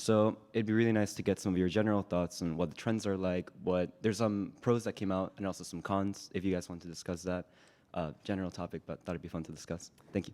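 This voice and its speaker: A man's very deep, low voice, very fast pace, fairly even intonation, dark, mellow tone, and a very clean recording with a silent background. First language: Spanish. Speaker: conference attendee asking a question. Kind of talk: audience question. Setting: conference hall with live audience.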